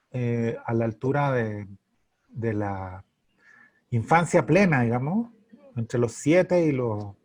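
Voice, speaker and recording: Speaking at a very slow pace, a man leaves long, frequent pauses. His medium-pitched voice has lively intonation. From Santiago, Chile. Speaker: writer. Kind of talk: interview answer.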